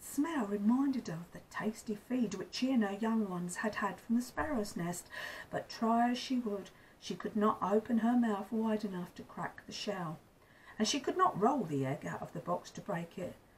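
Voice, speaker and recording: Her voice somewhat breathy and fairly high, a woman speaks at a moderate pace with lively intonation and big swings in loudness. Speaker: grandmother storyteller. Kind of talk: storybook reading aloud.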